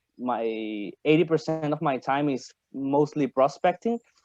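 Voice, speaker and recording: A man is speaking. His tone is dark and mellow. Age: 20s. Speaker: virtual assistant. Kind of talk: interview. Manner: halting.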